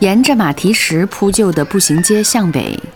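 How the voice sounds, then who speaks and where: Through noticeable background noise, a woman speaks very slowly in a gentle, warm tone. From Harbin, northeast China. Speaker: radio host. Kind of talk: scripted narration.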